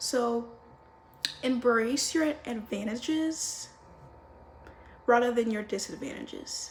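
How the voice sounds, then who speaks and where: Very slow speech with long, frequent pauses is heard through noticeable background noise and audible room echo. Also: woman, high pitch for a woman, ordinary pitch variation. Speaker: lifestyle and self-help vlogger. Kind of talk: casual advice monologue to camera. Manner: slurs words; animated, informal.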